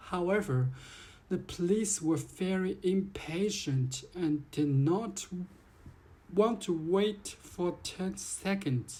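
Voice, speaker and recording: A woman speaks at a very slow pace with a medium pitch and a dark, mellow tone. Her voice is somewhat breathy, with ordinary pitch variation. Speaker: vlogger. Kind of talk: complaint monologue.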